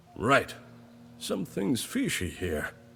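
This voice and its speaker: A man puts on a raspy character voice at a fairly low pitch. Background noise is clearly heard. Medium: video game.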